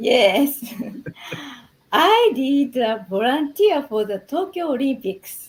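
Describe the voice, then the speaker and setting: In a Japanese accent, a woman talks at a very slow pace, her high pitch making very wide swings. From Japan, Shimane Prefecture. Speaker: English program participant. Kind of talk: interview. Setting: live stream.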